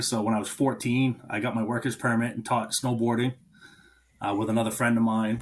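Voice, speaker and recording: Speaking in a monotone, flat intonation, a man talks with an American accent. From rural western Maine, US. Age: 30s. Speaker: welder and fabrication shop owner. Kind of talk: podcast interview, casual chat. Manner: halting, with many fillers.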